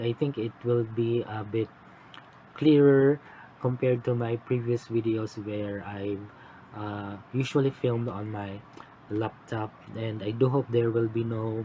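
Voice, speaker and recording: Quiet and slow-ish, a man at medium pitch speaks with monotone, flat intonation. Noticeable background noise sits behind him. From Philippines. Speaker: cross-stitch vlogger. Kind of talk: casual vlog update. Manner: halting. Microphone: phone mic.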